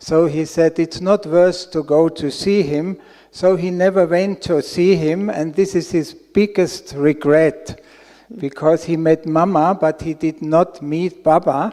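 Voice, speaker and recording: Speaking at a fairly slow pace, a man with a German accent has a high pitch. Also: fairly even intonation. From Austria. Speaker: audience member asking a question. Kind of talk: question at a spiritual Q&A.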